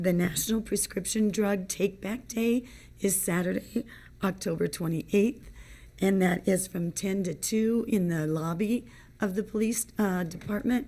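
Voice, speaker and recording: A woman with a medium pitch speaks at a fairly slow pace in a somewhat breathy, dark, mellow tone with ordinary pitch variation, on a very clean recording with a silent background. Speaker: village trustee. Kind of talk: committee report.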